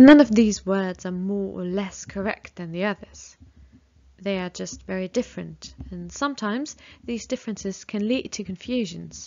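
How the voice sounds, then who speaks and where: With a British accent, a woman speaks at a moderate pace and a medium pitch. Her loudness swings widely, while her pitch variation stays ordinary. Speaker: English teacher. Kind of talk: lesson.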